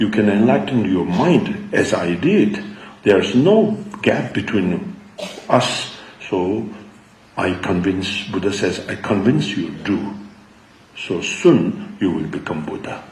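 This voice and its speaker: A man speaks at a very slow pace with long, frequent pauses, with audible room echo and noticeable background noise. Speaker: Buddhist teacher. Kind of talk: dharma talk.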